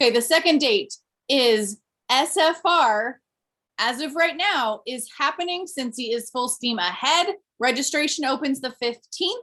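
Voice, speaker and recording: Here a woman speaks with a high pitch and a bright, sharp tone. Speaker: direct sales team leader. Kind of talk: team meeting announcements. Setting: video call.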